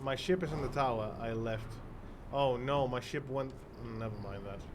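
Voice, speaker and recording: This man has a medium pitch, ordinary pitch variation and a moderate pace. Noticeable background noise and audible room echo are in the recording. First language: Spanish. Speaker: streamer. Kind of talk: live gameplay commentary. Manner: halting.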